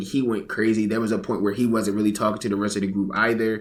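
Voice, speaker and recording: A man speaks with a fairly low pitch. Audible room echo surrounds his voice. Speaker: commentary YouTuber. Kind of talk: reaction commentary. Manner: casual, conversational.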